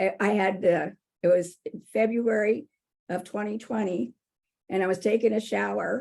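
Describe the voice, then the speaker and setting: A woman talks at a moderate pace with medium pitch and vocal fry. She leaves long, frequent pauses. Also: ordinary pitch variation. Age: 70s. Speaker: podcast guest, cancer survivor. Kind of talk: personal testimony in interview.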